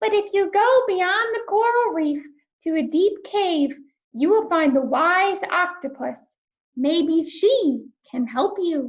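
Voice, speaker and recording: Using a put-on character voice, a woman talks fairly slowly, her extremely high pitch making very wide swings. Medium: read story.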